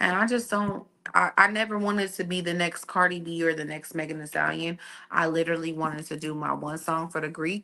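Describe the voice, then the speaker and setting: A woman with a slight country accent talks at a fairly quick pace in a fairly low pitch. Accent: slight country twang. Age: 30s. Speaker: entertainment media personality. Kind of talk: casual chat.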